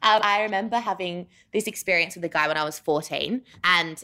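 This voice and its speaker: A woman with an Australian accent talks at a fairly quick pace in a bright, sharp tone. Her pitch variation is ordinary, and the recording is very clean with a silent background. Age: 20s. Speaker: writer. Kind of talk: casual chat. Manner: halting, many fillers.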